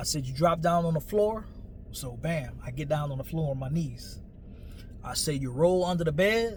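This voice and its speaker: Room echo is audible as a man talks in an American accent. His fairly high pitch varies in an ordinary way at a moderate pace. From New Orleans, Louisiana (US South). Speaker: storyteller / vlogger. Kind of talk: personal storytelling monologue. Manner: casual, conversational.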